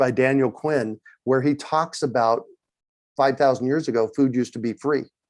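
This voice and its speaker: This is a man with a medium-pitched voice. He speaks at a moderate pace. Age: 60s. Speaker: urban farmer. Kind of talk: interview. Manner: animated.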